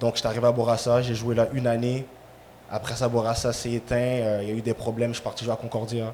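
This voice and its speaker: Over noticeable background noise, a man talks very fast at a medium pitch with monotone, flat intonation. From Quebec, Montreal. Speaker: ex-professional soccer player. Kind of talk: casual chat.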